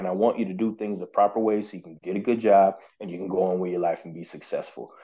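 This man speaks very fast with an American accent. His tone is animated. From Oklahoma, small town. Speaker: firearms instructor and artist. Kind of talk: casual interview chat.

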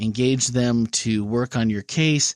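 A man talks at a medium pitch and a fairly slow pace with a slight Wisconsin accent. The recording is very clean with a silent background and a dry, close sound with no echo. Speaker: podcast host. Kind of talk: casual discussion of a sermon series.

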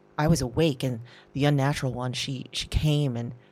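With music in the background, a woman speaks at a moderate pace in an anxious tone. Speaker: audio drama performer and producer. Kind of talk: audio drama first-person narration. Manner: intimate, halting, anxious, confessional; hushed, rambling, self-interrupting.

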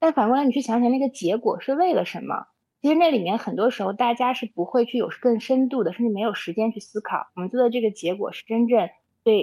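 A woman with a dark, mellow tone and fairly high pitch speaks at a very fast pace with ordinary pitch variation. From China, Xinjiang. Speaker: startup founder. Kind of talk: interview conversation. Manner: hesitant fillers.

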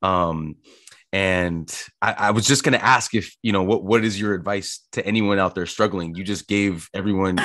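Over a quiet background, an ordinary speaking voice talks at a moderate pace. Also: man, fairly low pitch for a man, fairly even intonation. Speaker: podcast host. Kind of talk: casual interview chat.

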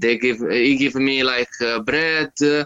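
Speaking at a fairly slow pace in an Italian accent, a man uses a fairly high pitch with ordinary pitch variation. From Italy. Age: 30s. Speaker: touring cyclist. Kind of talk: casual interview chat. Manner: halting, many fillers.

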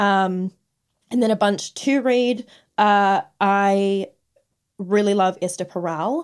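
A woman's medium-pitched voice at a very slow pace, with long, frequent pauses and ordinary pitch variation, on a very clean recording with a silent background. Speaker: podcast co-host and exotic dancer. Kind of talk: casual chat. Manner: giggly.

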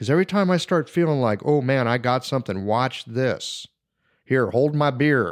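A man's ordinary speaking voice at medium pitch, lively in intonation and very even in loudness, at a moderate pace, on a very clean recording with a silent background. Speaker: Chinese medicine practitioner. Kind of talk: casual chat.

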